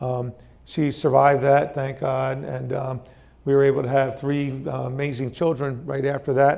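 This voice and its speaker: The speech moves at a moderate pace with monotone, flat intonation. Audible room echo surrounds it. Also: man, fairly high pitch for a man. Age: 60s. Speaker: company founder and CEO. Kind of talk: motivational talk. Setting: stage with audience. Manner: hesitant, many fillers.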